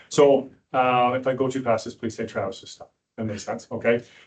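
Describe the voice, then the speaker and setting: This man's medium-pitched voice moves at a fairly quick pace. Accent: Canadian. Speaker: police sergeant, dog handler trainer. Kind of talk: presentation to police board. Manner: fast.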